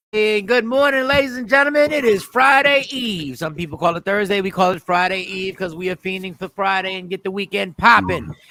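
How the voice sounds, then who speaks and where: A man's high-pitched, raised, projected voice, bright and sharp in tone, with lively intonation at a moderate pace. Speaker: morning radio show host. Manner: loud.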